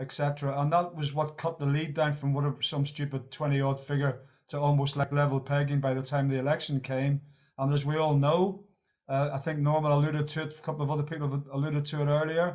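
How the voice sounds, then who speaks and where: Talking at a very fast pace, this man has a fairly high pitch, a Northern Irish accent and a monotone, flat intonation. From Northern Ireland. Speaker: meeting participant, Labour Party member. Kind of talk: discussion contribution at online meeting. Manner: halting, repetitive.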